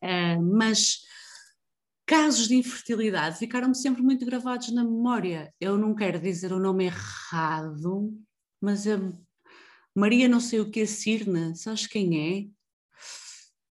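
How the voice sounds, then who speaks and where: A woman's fairly high-pitched voice at a very slow pace, with ordinary pitch variation. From northern Portugal, Avintes (Porto area). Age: 30s. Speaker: podcast host, copywriter. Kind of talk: casual interview chat.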